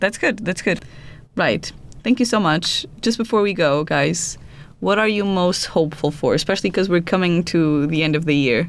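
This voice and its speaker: With a Portuguese accent, a woman speaks at a moderate pace and a fairly low pitch. Her intonation is lively and her loudness very even. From Portugal. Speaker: podcast host. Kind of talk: scripted narration; casual chat.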